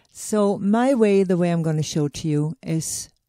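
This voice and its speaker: A woman speaks at a fairly low pitch with a dark, mellow tone and ordinary pitch variation, in a dry, close sound with no echo. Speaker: sewing tutor. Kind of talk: tutorial.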